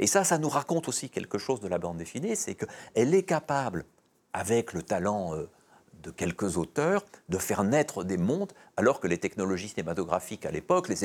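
Pitch swings very widely as a man talks at a moderate pace in a fairly low register. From Belgium. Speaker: comics historian and author. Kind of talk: interview. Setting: studio. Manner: hesitant, frequent fillers and repetitions.

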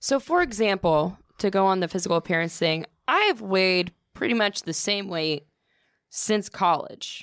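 A plain, everyday voice in a dry, close sound with no echo, on a very clean recording with a silent background. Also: woman, medium pitch for a woman, ordinary pitch variation, moderate pace. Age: 20s. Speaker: podcast co-host and singer. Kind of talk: casual chat.

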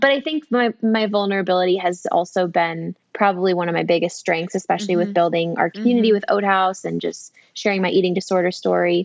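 A woman at a medium pitch races along at a very fast pace with hardly any pauses and ordinary pitch variation. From San Diego, California. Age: 30s. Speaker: food company founder. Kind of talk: casual chat. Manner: animated.

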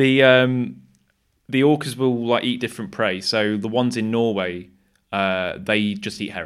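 This man speaks with an East Midlands accent. His pitch is medium and his pace moderate. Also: ordinary pitch variation. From Nottingham, England. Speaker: wildlife cameraman. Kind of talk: casual chat.

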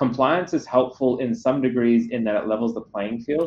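Speaking very fast with an Australian accent, a man uses ordinary pitch variation. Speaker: security company CEO. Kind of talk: interview.

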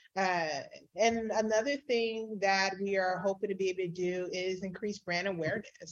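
A woman with an ordinary speaking voice, medium pitch, fairly even intonation and a moderate pace. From San Diego, California. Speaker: nonprofit leader. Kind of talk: interview.

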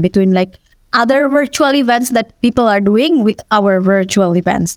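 A woman talks at a fairly quick pace with ordinary pitch variation, the sound dry and close with no echo. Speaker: XR designer. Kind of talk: panel discussion. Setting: video call.

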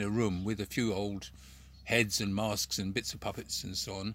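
This man's voice has a bright, sharp tone. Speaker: puppeteer and former street performer. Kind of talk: casual interview chat. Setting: video call.

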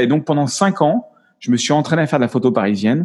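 Fairly quick and lively in intonation, a man talks at a fairly high pitch. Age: 50s. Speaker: photographer. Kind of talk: interview. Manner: halting.

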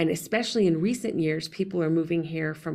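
A woman with an American accent uses a normal speaking voice, fairly low in pitch, at a moderate pace. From New Mexico (Las Vegas), then West Texas (Lubbock). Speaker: newspaper editor. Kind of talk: interview conversation.

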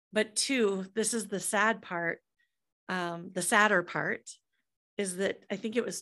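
Against a quiet background, a woman with a Midwestern American accent talks at a medium pitch in a bright, sharp tone. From US Midwest, Des Moines, Iowa. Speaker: entrepreneur and author. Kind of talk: podcast interview.

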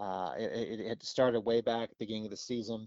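A man with an unremarkable speaking voice talks at a fairly slow pace and medium pitch. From Pennsylvania. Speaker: TV meteorologist. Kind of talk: casual interview.

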